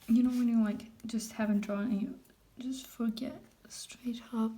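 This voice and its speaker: Audible room echo surrounds a soft-spoken woman with a non-native accent. Her tone is dark and mellow, her intonation monotone and flat. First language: not English. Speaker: art vlogger. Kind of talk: casual drawing commentary. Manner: halting.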